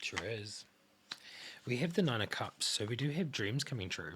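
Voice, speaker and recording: Soft-spoken man with a bright, sharp tone and ordinary pitch variation, in a very clean recording with a silent background. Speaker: tarot card reader. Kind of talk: tarot reading. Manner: hesitant, many fillers.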